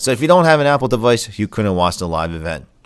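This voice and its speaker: In a very clean recording with a silent background, a man with an American accent talks at a very fast pace. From Philadelphia, US. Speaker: tech podcaster and store owner. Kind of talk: live-stream podcast chat. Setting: store, live stream. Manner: casual, hesitant with fillers.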